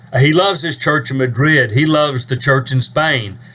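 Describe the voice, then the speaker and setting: Somewhat breathy, a man talks at a moderate pace. His pitch varies in an ordinary way. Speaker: preacher. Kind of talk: casual talk to camera.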